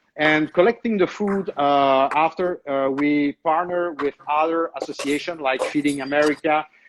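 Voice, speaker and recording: This man speaks in an Italian accent at a moderate pace with hardly any pauses, his fairly high voice following a fairly even intonation, recorded dry and close with no echo against a quiet background. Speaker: chef. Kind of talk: cooking segment on video call. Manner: halting, many hesitations.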